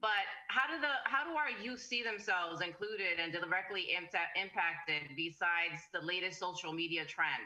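A woman at medium pitch with lively intonation, a moderate pace and hardly any pauses, over a quiet background. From US Northeast city. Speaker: panel moderator, council chair. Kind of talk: panel discussion. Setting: video call. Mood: earnest, advocating. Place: home room. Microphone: video call.

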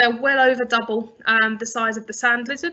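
Against a quiet background, a woman speaks at a moderate pace. Her fairly high voice stays monotone and flat. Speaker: conservation charity expert. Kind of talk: lecture. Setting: video call. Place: home room. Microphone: webcam.

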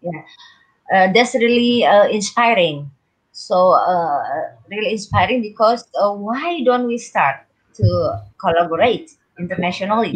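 A woman with an Indonesian accent, somewhat breathy and at medium pitch, with lively intonation, a fairly slow pace and long, frequent pauses against a quiet background. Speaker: kindergarten teacher. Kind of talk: casual chat. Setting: video call. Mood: warm, enthusiastic. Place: home room. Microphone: video call.

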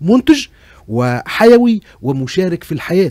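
A man with a Tunisian accent makes very wide pitch swings, heard as a dry sound with no echo over a quiet background. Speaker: actor and screenwriter. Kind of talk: casual interview chat on radio. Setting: radio studio. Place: studio. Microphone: studio mic.

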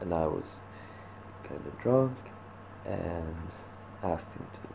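A soft-spoken man talks at a fairly slow pace with ordinary pitch variation. Noticeable background noise is present. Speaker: vlogger. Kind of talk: casual vlog chat. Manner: soft, drowsy, hungover murmur. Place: home room. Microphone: webcam.

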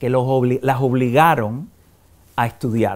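The speaker is a man with a medium pitch. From Cuba, Havana; Cuba. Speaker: film critic and journalist; journalist. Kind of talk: interview. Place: home room. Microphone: lapel.

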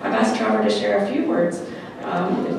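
With clear background noise and audible room echo, a woman talks at a fairly quick pace with vocal fry.

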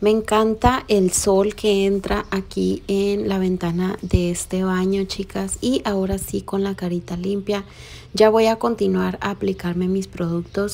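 A woman's fairly slow, monotone delivery with flat intonation. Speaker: beauty vlogger. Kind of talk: casual vlog chat. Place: bathroom. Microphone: phone near.

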